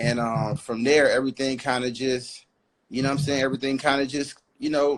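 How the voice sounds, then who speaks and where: A man speaks very fast with an American accent. His pitch is fairly high. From Houston, Texas (Caribbean family). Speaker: music industry A&R executive. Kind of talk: casual interview. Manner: halting, stutters while thinking.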